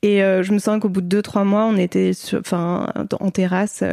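A woman speaks at a medium pitch with monotone, flat intonation. Her tone is dark and mellow. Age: 30s. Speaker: book editor and author, mother. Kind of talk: casual interview.

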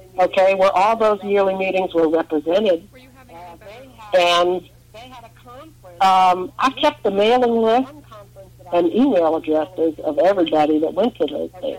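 A woman's normal speaking voice at medium pitch, with lively intonation and a moderate pace. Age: 60s. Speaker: retired teacher, activist. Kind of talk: interview.

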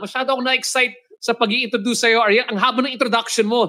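A man's raised, projected voice at an extremely high pitch, bright and sharp, animated in tone, at a very fast pace. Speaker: podcast host. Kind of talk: interview.

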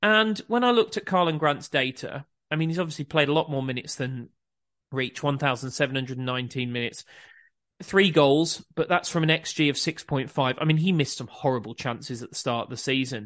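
A man with a normal speaking voice speaks at a fairly high pitch, at a moderate pace, with ordinary pitch variation. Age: 40s. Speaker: football podcast host. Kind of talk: casual football analysis chat.

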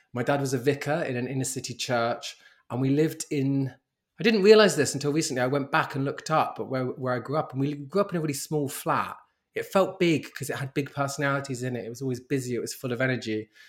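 A man with a London accent, fairly high-pitched for a man, at a very fast pace. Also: ordinary pitch variation. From South London. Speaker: model and writer. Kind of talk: interview.

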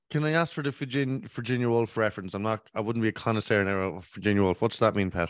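With an Irish accent, a man talks at a very fast pace with hardly any pauses and ordinary pitch variation against a quiet background. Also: medium pitch for a man. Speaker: podcast co-host. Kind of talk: casual chat. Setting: at home.

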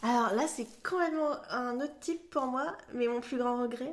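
Her pitch is high for a woman. She talks at a fairly slow pace with ordinary pitch variation. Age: 30s. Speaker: podcast guest. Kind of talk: casual interview.

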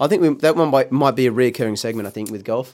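With an Australian accent, this man rattles off his words very fast. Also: very clean recording, silent background. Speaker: horse racing podcast co-host. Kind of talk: casual chat.

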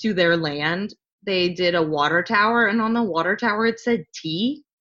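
A woman's plain, everyday voice, at a moderate pace with ordinary pitch variation. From US South, Louisiana. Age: 20s. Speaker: podcast guest, friend of host. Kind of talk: casual chat.

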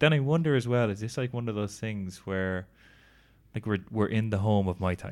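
The man's fairly low voice comes through on a very clean recording with total silence behind it. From Ireland. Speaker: podcast co-host. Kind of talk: casual chat. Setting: recording while travelling in Thailand.

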